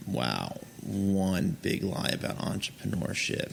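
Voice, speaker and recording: Over noticeable background noise, a man with an American accent speaks at a very deep, low pitch. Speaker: entrepreneur, former teacher. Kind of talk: interview.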